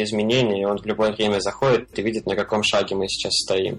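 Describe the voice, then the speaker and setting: Noticeable background noise sits behind a man. He has a fairly low pitch and a fairly quick pace. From Russia, Belgorod. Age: 20s. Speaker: freelance web developer. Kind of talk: casual interview. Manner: halting with many fillers.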